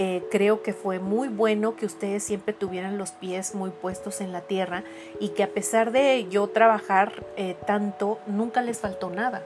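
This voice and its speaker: A woman at a fairly slow pace with hardly any pauses, over noticeable background noise. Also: medium pitch for a woman, fairly even intonation. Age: 60s. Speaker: psychologist and art therapist. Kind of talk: casual chat.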